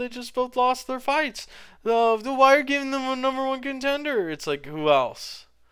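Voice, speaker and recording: On a very clean recording with a silent background, the speaker sounds animated, bright and sharp, moving at a fairly quick pace with lively intonation. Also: man. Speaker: MMA commentator youtuber. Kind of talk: casual monologue. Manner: halting, stumbling.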